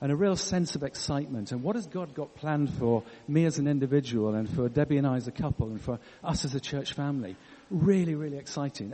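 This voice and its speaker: Very fast, fairly high male voice with an English accent. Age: 60s. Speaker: church leader. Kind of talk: sermon.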